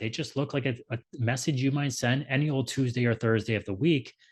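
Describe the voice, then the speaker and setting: The background is quiet as a man talks at a fairly quick pace. His voice is somewhat breathy. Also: hardly any pauses. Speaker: ecommerce marketing expert. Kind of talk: webinar presentation.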